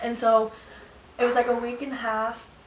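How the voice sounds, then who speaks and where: A woman with a fairly high-pitched voice talks over noticeable background noise. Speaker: vlogger. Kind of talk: storytime vlog. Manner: fast.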